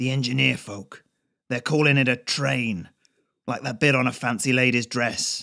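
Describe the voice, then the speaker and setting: A raspy put-on character voice moves at a moderate pace with fairly even intonation. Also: man, medium pitch for a man. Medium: read story. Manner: casual, wry, colloquial.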